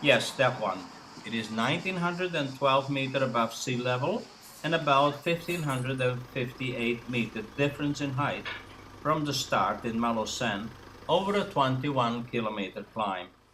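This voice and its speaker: A man's pitch varies in an ordinary way while noticeable background noise carries on. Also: medium pitch for a man, moderate pace. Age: 60s. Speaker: retired cyclist vlogger. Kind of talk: scripted narration. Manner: formal.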